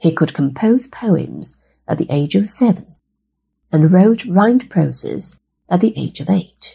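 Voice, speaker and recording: At a medium pitch with very wide pitch swings, a woman speaks fairly slowly in a gentle tone with vocal fry. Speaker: storyteller. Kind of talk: children's story narration. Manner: warm, clear and measured, explaining to kids; formal, gentle and instructive.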